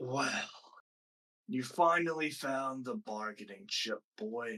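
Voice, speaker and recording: A man talks extremely slowly in a put-on character voice. His pitch sits in the medium range. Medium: actual play. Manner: imperious, menacing.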